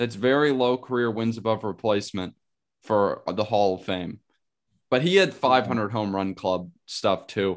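A man speaks at a fairly slow pace in a normal speaking voice, his fairly low pitch showing ordinary variation against a quiet background. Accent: American. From Pittsburgh, US. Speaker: sports card podcast co-host. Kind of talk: casual chat.

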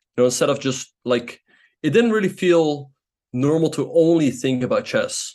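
With a non-native accent, a man speaks in a fairly high pitch and lively intonation. The background is quiet. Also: moderate pace. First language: not English. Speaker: chess grandmaster and streamer. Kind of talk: interview.

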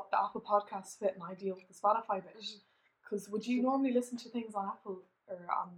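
A woman with an Irish accent at a fairly high pitch and a very fast pace, her intonation fairly even, with big swings in loudness. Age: 20s. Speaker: podcast co-host. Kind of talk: casual chat.

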